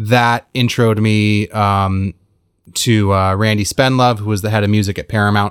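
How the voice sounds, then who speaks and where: Speaking with an American accent, a man uses a fairly low pitch and monotone, flat intonation. The recording is very clean, with a silent background. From US West Coast, Los Angeles. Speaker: film score mixer and engineer. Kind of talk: interview.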